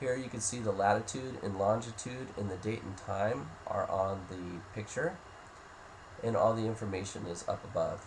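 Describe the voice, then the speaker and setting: Somewhat breathy and fairly low-pitched, a man talks at a moderate pace with ordinary pitch variation. Audible room echo is present. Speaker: software demo presenter. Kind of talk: software tutorial walkthrough.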